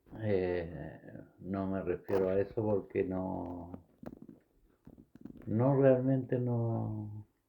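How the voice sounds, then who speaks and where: A man's fairly low voice with lively intonation, a very slow pace and long, frequent pauses. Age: 70s. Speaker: former footballer. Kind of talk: interview.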